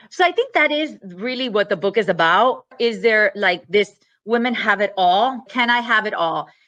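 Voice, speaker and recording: With a Miami accent, a woman speaks at a moderate pace in a fairly high pitch, her tone bright and sharp and her intonation lively. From Miami, Florida. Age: 40s. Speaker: novelist, former attorney. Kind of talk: interview.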